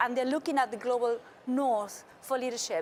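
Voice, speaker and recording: A woman with a South American accent talks at a high pitch. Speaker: panelist on sustainability. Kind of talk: panel discussion.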